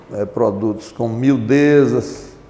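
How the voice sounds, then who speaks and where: Very slowly and at a medium pitch, a man speaks amid noticeable background noise and audible room echo. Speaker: retired marine, amnesty movement member. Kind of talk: oral history interview. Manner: formal; halting.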